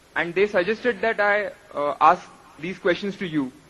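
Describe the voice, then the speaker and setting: A man with a high voice speaks in a raised, projected way. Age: young. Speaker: audience member asking a question. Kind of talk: audience question at public event. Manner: hesitant, with filler uh.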